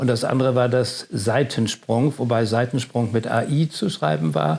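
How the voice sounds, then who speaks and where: At a moderate pace, a man speaks with lively intonation, a medium pitch and vocal fry. His loudness stays very even. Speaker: stadium announcer. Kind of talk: interview answer. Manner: casual storytelling.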